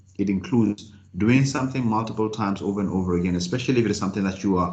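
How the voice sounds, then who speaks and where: A man's fairly low voice with ordinary pitch variation, amid audible room echo. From South Africa, Free State. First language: Sesotho. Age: 30s. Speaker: motivational speaker and executive coach. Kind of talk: talk to online business group. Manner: fast, about 150 words per minute.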